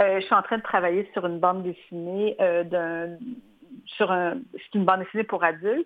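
Using an ordinary speaking voice, a woman at a medium pitch talks at a moderate pace with fairly even intonation. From Quebec. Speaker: illustrator. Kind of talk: interview.

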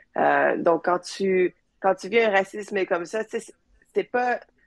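Recorded with a dry, close sound and no echo, a woman uses an unremarkable speaking voice with ordinary pitch variation. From Quebec (Joliette), later Manchester, England. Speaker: space engineer. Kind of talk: interview. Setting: video call.

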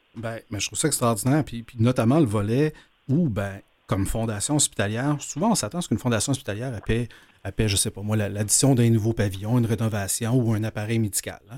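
A man's medium-pitched voice with a Quebec accent, very fast, with ordinary pitch variation. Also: very clean recording, silent background. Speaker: radio host. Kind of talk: interview. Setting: studio.

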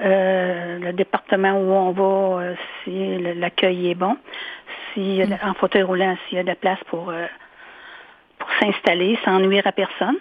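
Long, frequent pauses break up a woman's fairly slow speech. Her medium-pitched voice has monotone, flat intonation. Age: 60s. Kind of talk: interview.

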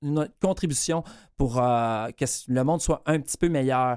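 With a Quebec accent, the speaker keeps a moderate pace in a very clean recording with a silent background. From Quebec, Bas-Saint-Laurent. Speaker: radio columnist and comedian. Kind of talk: radio column.

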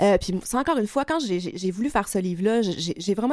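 A woman with an ordinary speaking voice speaks at a moderate pace in a medium pitch, her intonation lively. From Quebec, Lac-Saint-Jean. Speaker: travel writer. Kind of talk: interview.

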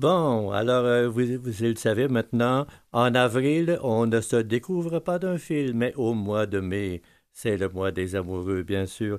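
A man with a medium pitch talks at a very slow pace with lively intonation, captured in a very clean recording with a silent background. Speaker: radio music show host. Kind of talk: radio music presentation. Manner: halting.

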